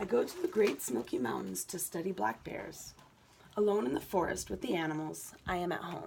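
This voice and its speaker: Noticeable background noise behind a moderately paced female speaker. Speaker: student. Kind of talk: reading aloud.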